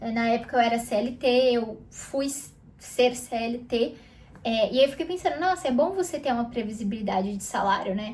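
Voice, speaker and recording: Her pitch sits high. The woman's intonation sounds lively. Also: moderate pace. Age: 20s. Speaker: youtuber. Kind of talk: casual vlog monologue. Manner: conversational, with fillers.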